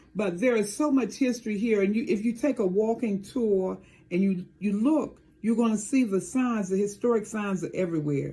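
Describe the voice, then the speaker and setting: A woman's fairly high, somewhat breathy voice with a dark, mellow tone and an American accent, at a moderate pace. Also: ordinary pitch variation, very even loudness. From Maryland, near Washington DC. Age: 70s. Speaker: town mayor. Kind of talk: interview.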